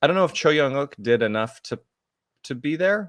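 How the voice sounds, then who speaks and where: Lively intonation in an American accent, with a dry, close sound with no echo and a quiet background. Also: man. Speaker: football podcast host. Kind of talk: casual chat. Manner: hesitant, many fillers and repeats.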